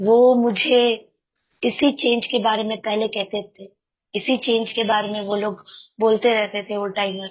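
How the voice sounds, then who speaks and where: A woman talks fairly slowly in a fairly high voice with monotone, flat intonation. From Kolkata, West Bengal, India. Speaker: recovering alcoholic sharing at a support meeting. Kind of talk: testimony. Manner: halting, many fillers.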